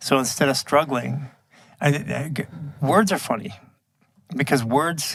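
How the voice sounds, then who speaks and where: Fairly slow speech with vocal fry, long, frequent pauses and ordinary pitch variation. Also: man, fairly high pitch for a man. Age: 50s. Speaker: bodywork instructor and entrepreneur. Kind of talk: casual chat.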